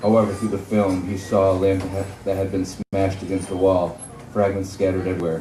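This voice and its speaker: Rather quick talk from a male speaker with a very deep, low voice, over clear background noise. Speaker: horror fiction author. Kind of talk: live author reading of a horror short story. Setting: live venue.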